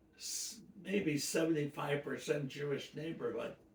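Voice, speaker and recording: With an American accent, a man speaks at a fairly slow pace and a fairly high pitch, with audible room echo. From US Midwest, Detroit. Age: 90s. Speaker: elderly interviewee. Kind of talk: life-story interview. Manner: halting.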